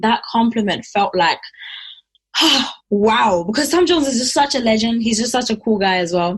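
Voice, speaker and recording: Her voice somewhat breathy, a woman speaks at a moderate pace with lively intonation. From Zimbabwe. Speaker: singer. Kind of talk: interview answer. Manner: casual.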